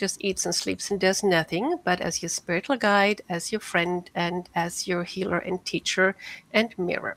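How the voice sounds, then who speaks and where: Recorded dry and close with no echo, a woman with a slight German accent speaks at a medium pitch. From Germany. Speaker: cat whisperer and spiritual healer. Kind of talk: interview.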